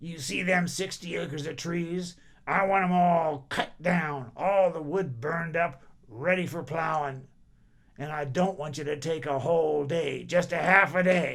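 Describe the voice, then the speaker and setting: A man puts on a raspy character voice, pitched fairly high, at a moderate pace. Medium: read story. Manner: bossy, demanding.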